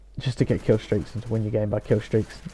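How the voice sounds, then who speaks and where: A quiet, somewhat breathy man with a British accent speaks in a dark, mellow tone with monotone, flat intonation. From UK. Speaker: gaming YouTuber. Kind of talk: gameplay commentary. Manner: quiet, hesitant.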